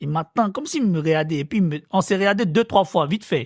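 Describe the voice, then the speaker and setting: Recorded very cleanly with a silent background and a dry, close sound with no echo, a man speaks with an Ivorian accent. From Côte d'Ivoire. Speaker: interviewee. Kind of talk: storytelling interview.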